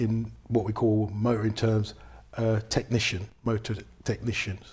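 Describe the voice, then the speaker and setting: Somewhat breathy, a man with a London accent speaks at a medium pitch. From London, England. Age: 60s. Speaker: car mechanic and cancer awareness ambassador. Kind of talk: interview.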